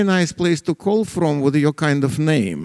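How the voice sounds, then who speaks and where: A man with a Russian accent talks at a fairly quick pace with ordinary pitch variation. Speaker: economist. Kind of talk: lecture. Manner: halting, many fillers.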